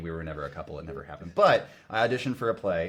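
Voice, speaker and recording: This man has a very deep, low-pitched voice. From northern Missouri, US Midwest. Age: 30s. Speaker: runner, podcast guest, former theater actor. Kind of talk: casual chat.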